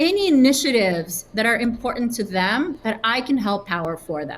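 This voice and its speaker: A somewhat breathy woman's voice at a fairly high pitch. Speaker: sales leader. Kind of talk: interview. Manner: casual, with many fillers.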